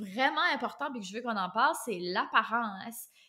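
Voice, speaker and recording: A woman with an Acadian accent speaks in a high, bright, sharp voice with an animated tone, in a very clean recording with a silent background. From Acadia (New Brunswick, Canada). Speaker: podcast host. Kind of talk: casual chat. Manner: fast.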